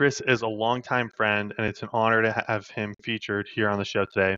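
This man talks at a fairly quick pace with a western US accent. His fairly low voice stays monotone and flat. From Idaho. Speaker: podcast host. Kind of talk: casual interview; scripted intro and outro. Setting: call.

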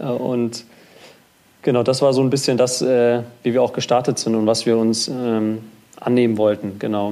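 Speaking at a moderate pace, a man uses a medium pitch and a flat, monotone intonation. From North Rhine-Westphalia, Germany. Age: 20s. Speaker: startup founder. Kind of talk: interview. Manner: halting, many fillers and repetitions.

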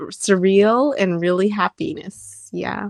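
Recorded with a dry, close sound, no echo and a quiet background, a woman speaks in a plain, everyday voice at medium pitch with ordinary pitch variation. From US, raised in America, later years in Japan. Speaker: singer and musician. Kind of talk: interview.

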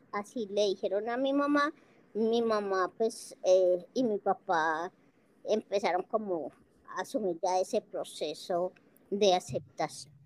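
Lively in intonation, a woman speaks at a very slow pace with long, frequent pauses. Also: dry, close sound with no echo. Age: 50s. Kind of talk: interview.

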